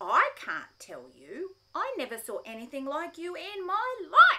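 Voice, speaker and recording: In a put-on character voice, the speaker goes at a fairly slow pace with an extremely high pitch and very wide pitch swings. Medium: read story. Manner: saucy, laughing.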